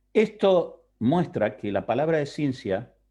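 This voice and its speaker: Over a quiet background, a man speaks in a dark, mellow tone with very wide pitch swings. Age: middle-aged. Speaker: pastor. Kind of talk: Bible class lecture. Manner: conversational, checks understanding.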